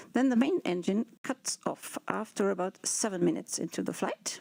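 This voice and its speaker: With vocal fry and a dark, mellow tone, a woman talks at a moderate pace and medium pitch, her sound dry and close with no echo. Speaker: space agency launch engineer. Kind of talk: live broadcast explanation.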